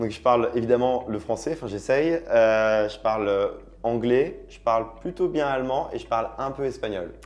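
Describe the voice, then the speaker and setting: This is an ordinary speaking voice, a man's at medium pitch with ordinary pitch variation. He speaks at a moderate pace, and his loudness swings widely. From France, Auvergne. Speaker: travel content creator. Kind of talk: interview. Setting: studio. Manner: casual, many fillers.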